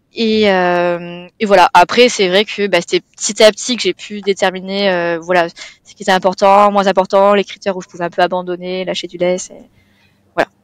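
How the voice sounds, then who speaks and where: With big swings in loudness, a woman speaks in a monotone, flat intonation, in a dry, close sound with no echo. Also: medium pitch for a woman, moderate pace. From southeastern France (Provence). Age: 20s. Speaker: client, first-time property investor. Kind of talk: interview. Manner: casual, with many fillers.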